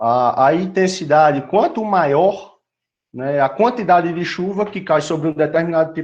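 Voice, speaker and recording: Over a quiet background, a man speaks with a high pitch and ordinary pitch variation. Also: fairly slow pace. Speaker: university lecturer. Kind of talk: lecture.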